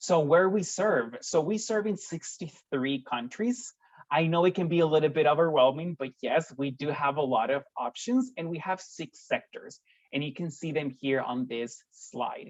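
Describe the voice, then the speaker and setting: With a Spanish accent, a man speaks at a moderate pace in a fairly high voice with lively intonation. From Costa Rica. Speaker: recruiter for a volunteer service organization. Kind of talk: informational presentation.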